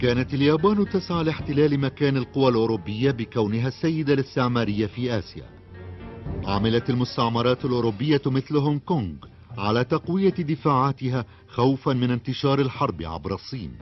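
With music in the background, a man uses a calm, soothing tone at a medium pitch, lively intonation and a moderate pace. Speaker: voice-over narrator. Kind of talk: documentary narration.

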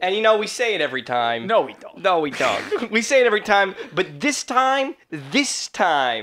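A moderate pace with hardly any pauses over light background noise. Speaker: podcast host. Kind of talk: casual podcast banter. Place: home room. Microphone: studio mic.

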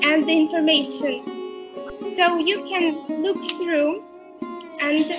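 Over clear background music, a woman talks very slowly at an extremely high pitch with ordinary pitch variation. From Ukraine. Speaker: teacher. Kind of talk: online class presentation to students. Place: home room. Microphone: webcam.

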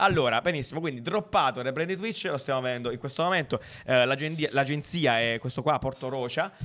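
A fairly quick pace and a bright, sharp tone. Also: man, fairly high pitch for a man, ordinary pitch variation. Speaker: design podcast co-host. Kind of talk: casual chat.

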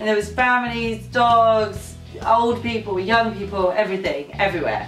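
A woman speaks at a moderate pace. Faint music plays in the background, and room echo is audible. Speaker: travel vlogger. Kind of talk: casual vlog chat. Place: home room.

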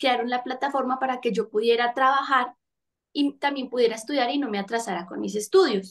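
A woman talks at a high pitch and a fairly quick pace. Her pitch varies in an ordinary way. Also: quiet background. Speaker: actress and singer; actress. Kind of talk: interview. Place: home room. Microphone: video call.

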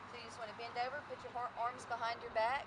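Noticeable background noise accompanies a woman talking at a middling speed. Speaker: fitness instructor. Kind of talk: tutorial. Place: open country.

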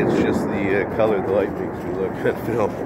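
Loud background noise surrounds a man talking at a fairly quick pace. The sound is dry with no echo. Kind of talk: casual vlog chat. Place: forest. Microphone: phone near.

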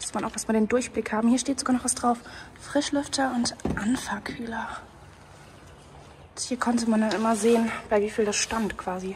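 Light noise sits in the background. The pace of speech is moderate. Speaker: urban explorer vlogger. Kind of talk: casual vlog chat. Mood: curious, cautious. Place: factory. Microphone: phone near.

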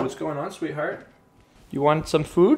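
A man's voice amid noticeable background noise. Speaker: fitness vlogger. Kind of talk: casual vlog chat. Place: kitchen.

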